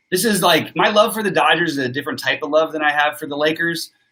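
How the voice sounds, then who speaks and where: A man talking very fast with lively intonation. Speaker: sports betting show host. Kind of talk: live stream sports analysis. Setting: live stream with chat. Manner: forceful.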